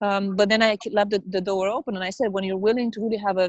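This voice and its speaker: Speaking at a very fast pace with a non-native accent, a woman keeps a medium pitch and fairly even intonation. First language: not English. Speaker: network marketing business owner. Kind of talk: interview. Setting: video call, outdoors in the rain. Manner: halting.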